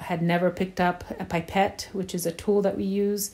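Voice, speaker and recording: A woman's dark, mellow voice carries a somewhat breathy quality. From Poland. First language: Polish. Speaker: teacher. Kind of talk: interview.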